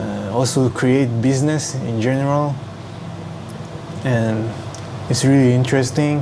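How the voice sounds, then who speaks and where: A man's flat, monotone voice with long, frequent pauses, noticeable background noise and audible room echo. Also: medium pitch for a man, fairly slow pace. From Hong Kong. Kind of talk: casual vlog to camera. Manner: halting, many fillers.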